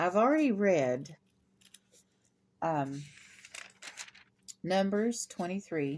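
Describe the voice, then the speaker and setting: Speaking very slowly with long, frequent pauses, a woman uses a medium pitch that swings very widely. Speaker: bible reader. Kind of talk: casual talk to camera.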